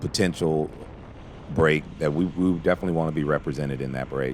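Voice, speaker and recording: Noticeable background noise sits behind a man's voice. His pitch is very deep and low, and it varies in an ordinary way. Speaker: cycling team manager and video commentator. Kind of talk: race video commentary. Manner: halting, frequent fillers.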